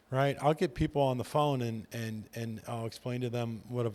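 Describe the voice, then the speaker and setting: Here a man talks in a normal speaking voice with a medium pitch and ordinary pitch variation. The recording is very clean, with a silent background. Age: 60s. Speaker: veteran real estate agent. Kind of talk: casual chat.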